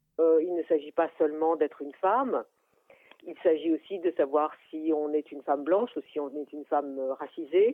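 A woman with a very deep, low pitch, ordinary pitch variation, big swings in loudness and a moderate pace. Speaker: art critic. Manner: halting.

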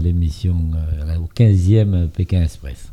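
A man's somewhat breathy voice in a dark, mellow tone, at a very slow pace with fairly even intonation. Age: 70s. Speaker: reality TV contestant. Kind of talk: interview. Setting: studio with small audience. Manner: halting.

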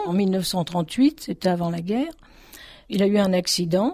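A woman speaks with a dark, mellow tone at a medium pitch. Her pitch varies in an ordinary way. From France, Paris suburbs (Dugny, Aubervilliers). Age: 70s. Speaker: retired accordion teacher. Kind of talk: testimony.

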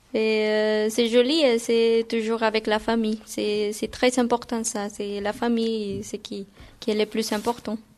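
Speaking at a very slow pace, a woman holds a fairly high pitch in a monotone, flat delivery. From Guatemala. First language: Spanish (speaking French). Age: 20s. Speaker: Spanish language assistant. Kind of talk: interview. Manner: halting.

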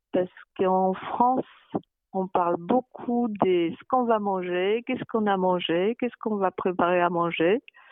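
In a Polish accent, a woman speaks at a medium pitch. Her pace is fairly slow. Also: ordinary pitch variation. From Poland, Baltic coast. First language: Polish (speaking French). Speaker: interviewee. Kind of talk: interview.

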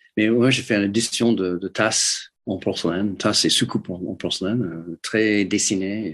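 With an English accent, a man speaks at a fairly slow pace in a fairly low pitch, his intonation fairly even and with hardly any pauses, over a quiet background. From US Midwest, Detroit. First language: English (speaking French). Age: 70s. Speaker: ceramic artist. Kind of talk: interview. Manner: halting, many repetitions.

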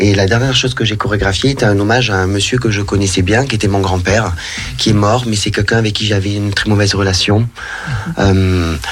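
A man with a fairly low voice speaks at a fairly quick pace, with ordinary pitch variation and hardly any pauses. Music plays in the background, and the room has an audible echo. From southern France, Narbonne. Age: 30s. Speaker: professional dancer. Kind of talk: radio interview.

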